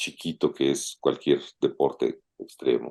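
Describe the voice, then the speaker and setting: A man talking at a very slow pace. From Mexico. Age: 60s. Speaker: open-water swimmer and businessman. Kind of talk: casual interview.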